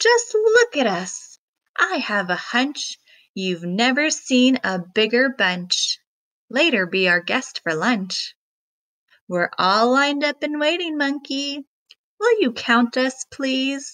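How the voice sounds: A woman puts on a character voice with high pitch and a fairly bright tone. She speaks slowly with lively intonation.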